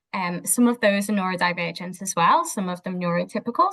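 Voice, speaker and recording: A woman speaks at a fairly quick pace with a Scouse accent. Her pitch moves up and down an ordinary amount. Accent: Scouse (Liverpool English). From Liverpool, northern England. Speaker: behaviour analyst. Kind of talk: interview.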